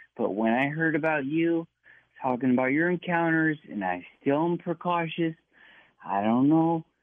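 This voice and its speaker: A man with an ordinary speaking voice speaks at a fairly high pitch and moderate pace, with ordinary pitch variation. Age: 40s. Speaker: caller. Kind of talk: radio call-in.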